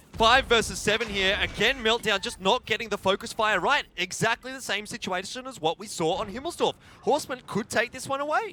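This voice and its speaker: A man talks in a raised, projected voice at a high pitch and a fairly quick pace, with hardly any pauses. His loudness swings widely, his pitch varies in an ordinary way, and noticeable background noise is present. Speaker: esports caster. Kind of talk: live commentary. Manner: animated.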